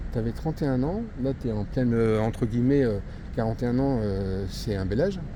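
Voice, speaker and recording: Audible room echo surrounds a man speaking at a fairly quick pace and a medium pitch, with ordinary pitch variation. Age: 60s. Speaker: video blogger and interviewer. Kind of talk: street interview. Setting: outdoors in a shopping area. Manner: halting, many hesitations.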